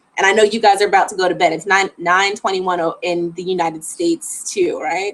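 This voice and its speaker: With an American accent, a woman talks at a fairly quick pace in a plain, everyday voice of medium pitch and fairly even intonation. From Florida. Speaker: travel vlogger. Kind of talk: live stream Q&A. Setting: live stream at home. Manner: casual, chatty.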